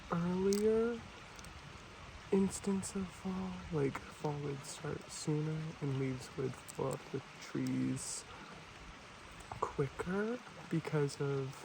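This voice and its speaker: A very slow delivery with long, frequent pauses and noticeable background noise. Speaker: ASMR creator / environmental educator. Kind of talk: ASMR soft-spoken educational talk to camera.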